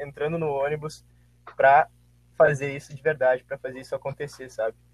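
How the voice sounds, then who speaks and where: A man speaks with a fairly high pitch and a somewhat breathy quality. The sound is dry and close, with no echo. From Santa Maria, Rio Grande do Sul, Brazil. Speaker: former student athlete. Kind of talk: casual chat.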